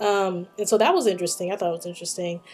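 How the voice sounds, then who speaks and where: A woman with an American accent, music in the background. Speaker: study abroad student vlogger. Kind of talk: video diary. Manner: casual, hesitant with many ums.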